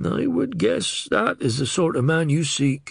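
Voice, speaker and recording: A man speaks in a raspy, put-on character voice, pitched fairly high for a man. His loudness stays very even and his pace is fairly slow. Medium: read story. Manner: respectful, knowing.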